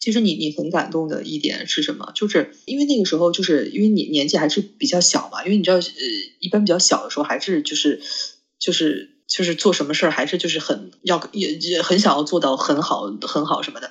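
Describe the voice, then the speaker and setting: Very wide pitch swings at a fairly quick pace. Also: man, high pitch for a man. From mainland China. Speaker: podcast co-host, film school graduate. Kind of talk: casual chat.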